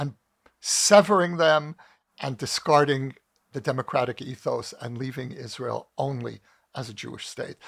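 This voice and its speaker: Recorded very cleanly against a silent background, in a dry, close sound with no echo, a man with an American accent and an unremarkable speaking voice talks at a moderate pace, his fairly high pitch showing ordinary variation. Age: 60s. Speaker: author and commentator. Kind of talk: interview. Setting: podcast.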